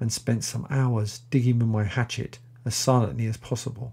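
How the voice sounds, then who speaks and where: A man's dramatic, dark, mellow tone, somewhat breathy and monotone, at a moderate pace. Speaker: audiobook narrator. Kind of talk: literary audiobook reading, scripted narration. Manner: measured, dramatic, suspenseful storytelling pace; formal, clear, and educational.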